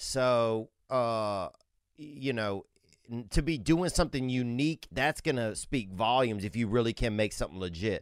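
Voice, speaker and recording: A man with an American accent speaks in an unremarkable speaking voice at medium pitch, with ordinary pitch variation. His moderate pace comes through on a very clean recording with a silent background. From Colorado. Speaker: comedy podcast co-host. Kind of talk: casual chat.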